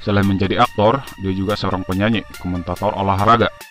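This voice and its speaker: Music plays in the background as a man talks at a very fast pace. His pitch is fairly low. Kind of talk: informational video narration. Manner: casual, chatty.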